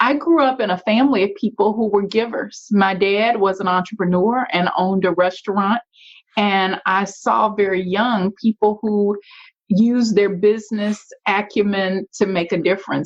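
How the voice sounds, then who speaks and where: A woman with a Louisiana accent speaks at a moderate pace. Her pitch is medium, with ordinary variation. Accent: Louisiana Southern. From US South, Shreveport, Louisiana. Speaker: nonprofit and community leader. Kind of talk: interview.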